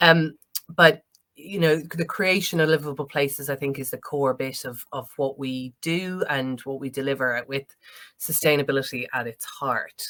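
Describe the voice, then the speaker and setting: A moderate pace in an Irish accent. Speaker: planning consultant. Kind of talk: conference presentation. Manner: hesitant, many fillers.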